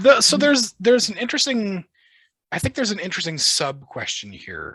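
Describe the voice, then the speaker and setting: A man with an American accent talks at a fairly quick pace in a high, bright, sharp voice. His pitch swings very widely, and his loudness swings a lot too. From United States. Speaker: podcast host. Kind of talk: podcast interview.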